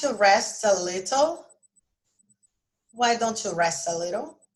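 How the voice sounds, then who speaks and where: A woman speaks with lively intonation. Her voice sits fairly high. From Brazil. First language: Portuguese. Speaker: English teacher. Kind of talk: lesson. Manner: casual, with many fillers.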